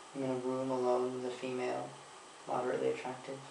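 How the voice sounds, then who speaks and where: Over noticeable background noise and audible room echo, a man with a medium pitch talks at a fairly quick pace. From Quebec, Canada. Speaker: travel vlogger. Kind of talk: casual chat.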